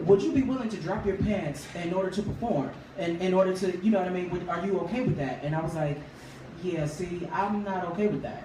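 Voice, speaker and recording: This man's voice sits high and moves at a fairly quick pace. There is audible room echo along with noticeable background noise. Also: ordinary pitch variation. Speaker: R&B singer. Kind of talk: interview.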